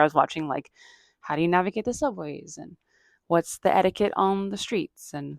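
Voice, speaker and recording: A woman with a plain, everyday voice speaks at a fairly quick pace with ordinary pitch variation, the sound dry and close with no echo. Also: very clean recording, silent background. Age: 40s. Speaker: comedian and podcast host. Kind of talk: casual chat.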